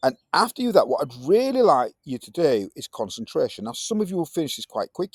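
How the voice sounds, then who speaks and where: An energetic man with a Yorkshire accent at a fairly quick pace, in a very clean recording with a silent background and a dry, close sound with no echo. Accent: broad Yorkshire. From Yorkshire, northern England. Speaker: science teacher. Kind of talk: classroom lesson. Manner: casual, energetic.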